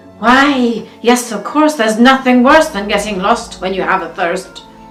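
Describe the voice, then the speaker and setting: Music plays behind a woman who speaks at a fairly slow pace in a fairly high voice with lively intonation. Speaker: actress. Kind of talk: fairytale reading.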